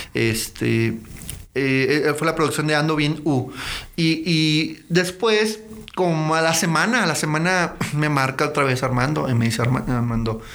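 Over noticeable background noise and audible room echo, a man with a fairly high pitch talks at a fairly slow pace, his loudness very even and his pitch variation ordinary. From León, Guanajuato, Mexico. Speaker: videographer. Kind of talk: casual chat.

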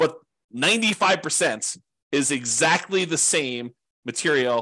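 A man's bright, sharp tone at a moderate pace against a quiet background. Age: 40s. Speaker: podcast host and real estate investing teacher. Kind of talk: solo presentation. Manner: casual with frequent fillers.

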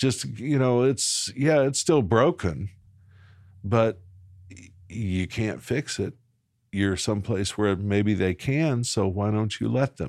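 Very slow with long, frequent pauses, a man with an American accent speaks in a fairly low pitch with lively intonation, captured in a very clean recording with a silent background. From Arkansas, Little Rock. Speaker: pastor. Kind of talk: interview. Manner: halting.

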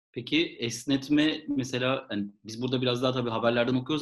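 At a fairly quick pace, a man at medium pitch talks with fairly even intonation in an ordinary speaking voice. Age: 30s. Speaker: podcast co-host. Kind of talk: casual chat.

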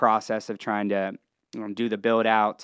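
A man's medium-pitched voice with an American accent, monotone, flat intonation and a moderate pace. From Ohio, near Columbus and Cincinnati. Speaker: entertainment entrepreneur and venue owner. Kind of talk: casual interview.

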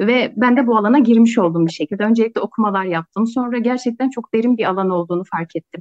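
Hardly pausing, a woman with a fairly high pitch talks at a very fast pace with ordinary pitch variation. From Kars, eastern Turkey. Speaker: sociology researcher. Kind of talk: interview conversation.

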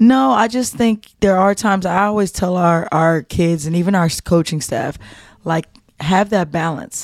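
The recording of this woman is very clean, with a silent background. She speaks at a moderate pace with ordinary pitch variation. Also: fairly low pitch for a woman. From New Jersey. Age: 40s. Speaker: college basketball coach. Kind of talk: casual interview.

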